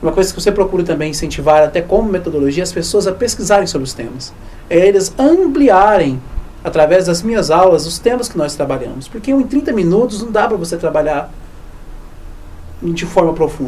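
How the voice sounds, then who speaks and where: There is noticeable background noise as a man speaks at a fairly quick pace. His high pitch carries lively intonation. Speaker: history teacher. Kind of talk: research interview. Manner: fast, sometimes stumbling over words.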